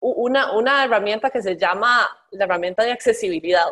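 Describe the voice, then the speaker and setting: Fairly high in pitch with ordinary variation, a woman speaks at a moderate pace in an unremarkable speaking voice. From Costa Rica. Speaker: transport innovation executive. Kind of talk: interview. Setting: remote call.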